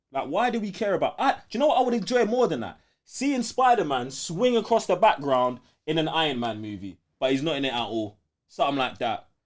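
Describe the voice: A man speaks at a fairly quick pace and a fairly high pitch, with big pitch swings. The recording is very clean, with a silent background.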